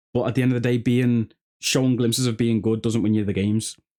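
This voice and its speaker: A man's medium-pitched voice with a Liverpool accent, on a very clean recording with a silent background. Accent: Scouse. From northern England, Liverpool. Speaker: sports YouTuber. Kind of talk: casual chat. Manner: animated.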